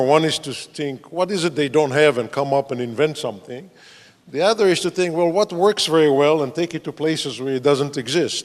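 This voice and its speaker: A fairly high-pitched man is heard in a very clean recording with a silent background. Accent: Israeli. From Israel. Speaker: entrepreneur, former business professor, panelist. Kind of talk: panel discussion self-introduction.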